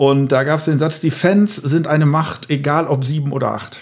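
Noticeable background noise surrounds this recording. A man talks at a fairly high pitch. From Lower Rhine, Germany (Emmerich). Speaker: comedian. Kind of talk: casual chat.

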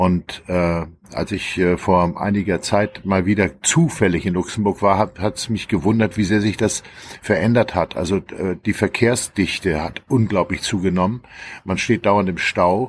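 This man has an unremarkable speaking voice, fairly low in pitch, with fairly even intonation and a fairly slow pace. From Schleswig-Holstein near Hamburg, northern Germany. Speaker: journalist and author. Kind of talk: casual chat.

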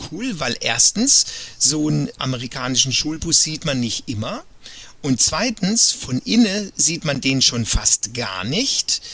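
The voice moves at a very slow pace. Its pitch swings very widely. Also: man. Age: 40s. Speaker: cruise ship entertainer and illustrator. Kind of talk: casual interview. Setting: virtual studio, remote call.

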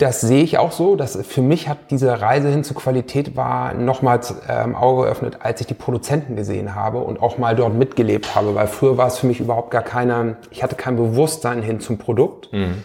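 Noticeable background noise sits behind a man talking at a fairly quick pace, with medium pitch and ordinary pitch variation. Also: hardly any pauses. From northern Germany, Hanover area. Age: 40s. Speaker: entrepreneur. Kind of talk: interview. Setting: office. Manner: halting, many fillers.

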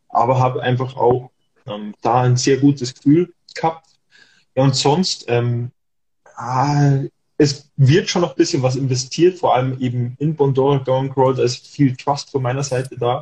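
Somewhat breathy, a man with a medium-pitched, dark, mellow voice speaks at a fairly slow pace with fairly even intonation. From Germany. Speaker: dividend investor and travel blogger. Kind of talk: casual panel chat.

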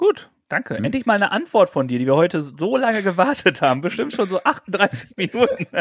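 Speaking at a fairly quick pace with hardly any pauses, a man's high-pitched voice makes very wide pitch swings in a dry, close sound with no echo. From German village. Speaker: podcast co-host. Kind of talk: casual chat.

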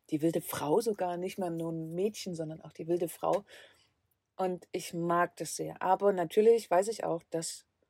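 In a calm tone and a fairly low pitch, a woman speaks at a fairly slow pace, the sound dry and close with no echo on a very clean recording with a silent background. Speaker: travel podcaster living in a van. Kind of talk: solo podcast monologue. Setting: inside a van. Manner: calm, reflective; occasionally halting.

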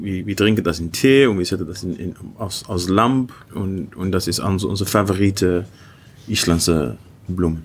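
Speaking at a moderate pace, a man uses a very deep, low pitch. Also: ordinary pitch variation. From Iceland, Icelandic mother and Dutch father. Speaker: gin distiller and artist. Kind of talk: interview with tasting. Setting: hotel bar. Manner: halting, repeating words; switching between German and English.

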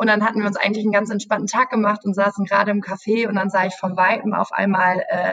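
A woman's voice has a bright, sharp tone. She talks at a very fast pace. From Germany, Münster area. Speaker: travel YouTuber on a sponsored trip. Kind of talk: podcast interview. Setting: office.

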